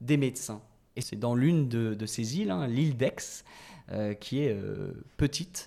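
At a very slow pace, a man talks in a dark, mellow tone with ordinary pitch variation. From western France (La Rochelle). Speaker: podcast host. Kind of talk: casual chat.

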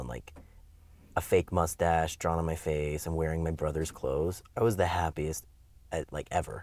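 A man with a very deep, low voice and vocal fry speaks at a moderate pace with fairly even intonation. The recording is very clean, with a silent background. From US Midwest, Wisconsin. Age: 20s. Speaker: interviewee sharing life story. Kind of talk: interview, personal testimony. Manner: hesitant, many fillers.

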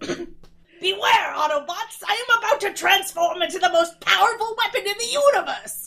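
A woman's put-on character voice at an extremely high pitch, with hardly any pauses. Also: moderate pace. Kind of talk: theatrical. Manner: menacing, dramatic.

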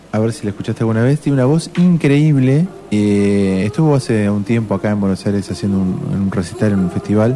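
Over music in the background, a man with a fairly low voice talks at a fairly quick pace with hardly any pauses, lively intonation and very even loudness. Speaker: radio host. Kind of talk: casual chat.

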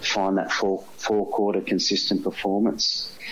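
Through noticeable background noise, a man in an Australian accent talks at a moderate pace with fairly low pitch and fairly even intonation. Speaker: football coach. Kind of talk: interview.

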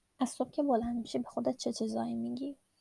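In a dry, close recording with no echo, a woman speaks at a fairly high pitch in a flat monotone with a dark, mellow tone. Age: 20s. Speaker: podcast host and product designer. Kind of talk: personal storytelling monologue.

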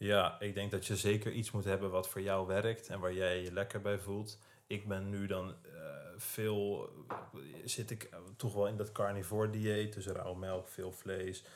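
The man's fairly low voice stays monotone and flat. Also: fairly slow pace. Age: 20s. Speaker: fitness influencer. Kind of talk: casual chat.

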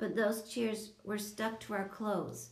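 Simply an unforced reading voice

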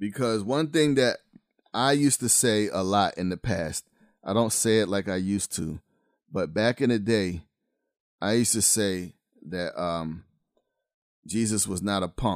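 In a very clean recording with a silent background and a dry, close sound with no echo, a man with a fairly low pitch speaks at a moderate pace with ordinary pitch variation and long, frequent pauses. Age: 50s. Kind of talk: podcast monologue, preaching commentary. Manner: casual, urban-flavored delivery.

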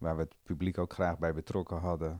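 In a quiet background, a man speaks with a very deep, low pitch and a dark, mellow tone. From Amstelveen, Netherlands. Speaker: dairy cooperative director. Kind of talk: casual interview.

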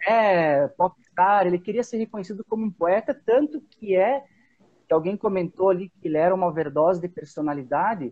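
A man speaks at a moderate pace in a high-pitched voice with lively intonation. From Antônio Prado, Rio Grande do Sul. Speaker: musician and music teacher. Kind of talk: casual interview chat.

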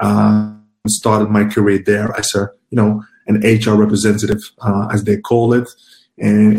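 Somewhat breathy and dark, mellow in tone, a man speaks at a moderate pace in a fairly low pitch with monotone, flat intonation. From Ghana, then Netherlands from age 11. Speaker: recruitment professional. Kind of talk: interview.

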